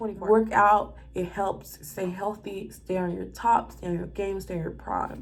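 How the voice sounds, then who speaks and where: The speaker has an American accent and hardly any pauses. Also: woman, moderate pace. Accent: Southern US, country, toned down for camera. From US South. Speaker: flight attendant and vlogger. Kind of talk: casual vlog, life update and tips. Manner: animated.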